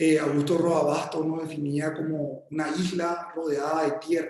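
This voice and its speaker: A man speaks in a fairly high voice with a flat, monotone delivery, and the room echo is easy to hear. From Paraguay. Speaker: architect. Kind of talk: lecture. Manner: halting, many repetitions and fillers; slow.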